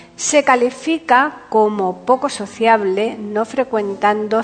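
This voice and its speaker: Music plays behind a woman speaking. She talks very slowly, with ordinary pitch variation. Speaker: podcast host and presenter. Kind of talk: radio-style presentation, scripted intro and biography.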